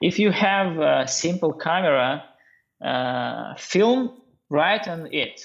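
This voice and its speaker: A man's high, very slow voice in a Russian accent, lively in intonation, against a quiet background. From Russia, Norilsk in northern Siberia. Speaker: bartender and brand ambassador. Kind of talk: podcast interview. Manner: halting, many hesitations.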